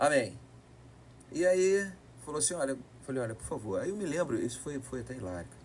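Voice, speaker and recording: The man speaks with lively intonation. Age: 50s. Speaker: politician, retired military police officer. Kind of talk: podcast interview, storytelling. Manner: animated.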